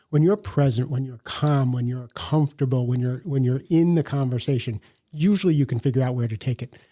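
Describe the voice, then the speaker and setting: A man speaks fairly quickly at medium pitch with ordinary pitch variation, his voice somewhat breathy, dark and mellow, with a dry, close sound and no echo. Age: 60s. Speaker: leadership coach and author. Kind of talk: podcast interview.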